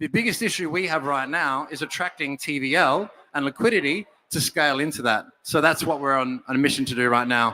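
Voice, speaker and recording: A man with an Australian accent speaks fairly quickly in a fairly high voice, his tone bright and sharp and his pitch varying in an ordinary way. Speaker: startup founder pitching. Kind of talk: pitch presentation and Q&A.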